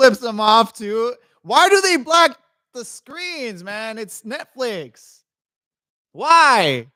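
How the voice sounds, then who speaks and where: A man speaks at a very slow pace in a raised, projected voice, extremely high in pitch, bright and sharp in tone, with very wide pitch swings and big swings in loudness. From Mexican heritage. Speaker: wrestling watch-along streamer. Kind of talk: live reaction stream. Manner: animated, casual.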